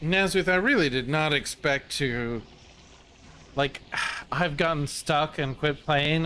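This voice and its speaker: Speaking at a fairly slow pace, a man with a fairly high voice shows ordinary pitch variation. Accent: American. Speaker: gaming streamer. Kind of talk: live gameplay commentary. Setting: live stream. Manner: animated.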